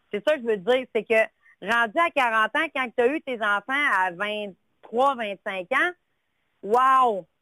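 Lively intonation marks a woman's fairly high-pitched voice. Her pace is very slow. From Quebec, Lac-Saint-Jean. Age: 40s. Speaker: caller. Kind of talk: call-in chat. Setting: phone call.

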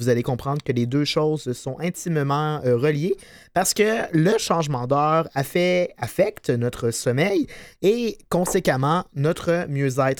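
Speaking very slowly, a man uses a fairly high pitch and lively intonation. The recording is very clean, with a silent background. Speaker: podcast co-host. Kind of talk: informative segment; casual chat. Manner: energetic.

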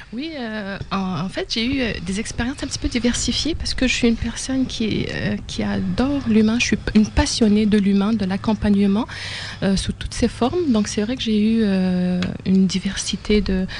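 With noticeable background noise, a woman speaks at a fairly high pitch with ordinary pitch variation. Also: moderate pace. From Algeria. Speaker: professional coach and psychologist. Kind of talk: interview. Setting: studio. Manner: halting.

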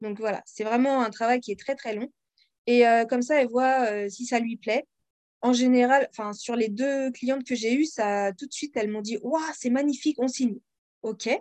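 A woman's high-pitched voice with fairly even intonation and a dry, close sound with no echo. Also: moderate pace. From France. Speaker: independent author and audiobook narrator. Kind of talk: interview.

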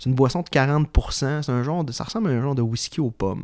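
This man has a fairly high pitch and an unremarkable speaking voice. His pitch varies in an ordinary way. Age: 20s. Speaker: history enthusiast guest. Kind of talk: casual interview.

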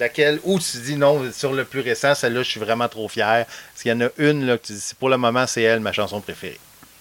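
With a Quebec accent, a man at medium pitch talks at a fairly quick pace with ordinary pitch variation and hardly any pauses, against noticeable background noise. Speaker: podcast host. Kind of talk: casual interview. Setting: outdoors at home.

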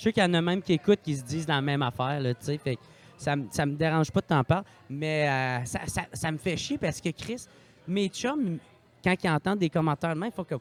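A man talks at a fairly quick pace in a Quebec accent. His pitch is fairly high, with ordinary pitch variation. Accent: Québécois French. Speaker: podcaster and comedian. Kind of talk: casual chat.

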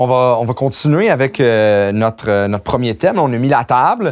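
This is a very clean recording with a silent background. Speech moves at a moderate pace. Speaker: union podcast host. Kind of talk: interview.

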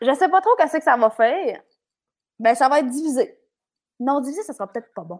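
With a Quebec accent, a woman talks at a very fast pace and a high pitch, her voice showing very wide pitch swings, big swings in loudness and long, frequent pauses. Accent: noticeable regional Quebec. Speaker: radio host and coach. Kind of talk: casual interview chat. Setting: video call with earphones.

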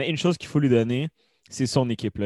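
A man with a dark, mellow tone speaks in a medium pitch with ordinary pitch variation, the sound dry and close with no echo against a quiet background. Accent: Quebec. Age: 20s. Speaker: hockey commentator. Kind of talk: casual chat.

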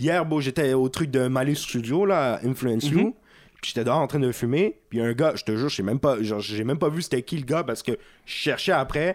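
A man's medium-pitched voice, with ordinary pitch variation, moves along at a fairly quick pace. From Quebec, Montreal (Saint-Léonard). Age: young. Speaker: rapper. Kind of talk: casual chat. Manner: laid-back slangy speech with English words.

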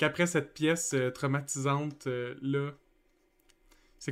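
On a very clean recording with a silent background, a man speaks with a fairly high pitch at a fairly slow pace. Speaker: YouTube channel host. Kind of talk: casual chat.

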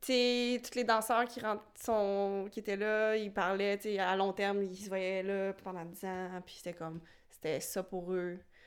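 A woman's medium-pitched voice at a fairly slow pace, with big swings in loudness and fairly even intonation, on a very clean recording with a silent background. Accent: Quebec. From rural Quebec. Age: 20s. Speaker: contemporary dancer. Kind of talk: casual chat.

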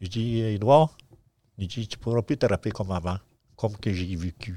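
Recorded with a dry, close sound and no echo, a man speaks with fairly low pitch and ordinary pitch variation. His tone is dark and mellow, and his pace moderate. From Quebec, Abitibi. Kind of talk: interview.

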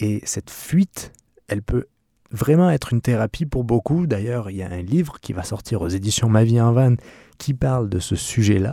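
A man speaks at a moderate pace and medium pitch, his tone dark and mellow and his intonation lively. The sound is dry and close with no echo, on a very clean recording with a silent background. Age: 30s. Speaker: podcast host, van-life traveller. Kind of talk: solo podcast monologue. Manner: halting, with fillers and repetitions.

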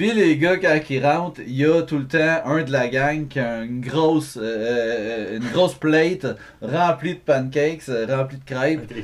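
Amid noticeable background noise, a man speaks at a very slow pace with a fairly high pitch and ordinary pitch variation. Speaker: podcast co-host. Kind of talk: casual chat.

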